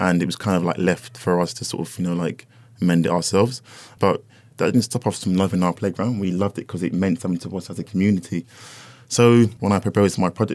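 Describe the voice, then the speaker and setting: With a London accent, a man speaks very fast in a very deep, low voice with fairly even intonation. The recording is very clean, with a silent background. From North London. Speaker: furniture designer. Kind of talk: casual interview chat. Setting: studio.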